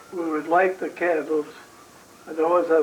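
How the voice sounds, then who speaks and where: A man with a New York accent talks at a high pitch with fairly even intonation, and noticeable background noise can be heard. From New York City. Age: 80s+. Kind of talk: interview answer.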